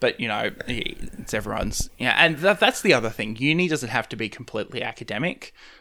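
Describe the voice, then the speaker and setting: Bright and sharp in tone, a man with an Australian accent speaks at a fairly quick pace and medium pitch, swinging very widely in pitch with hardly any pauses. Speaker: podcast host. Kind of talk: casual interview chat.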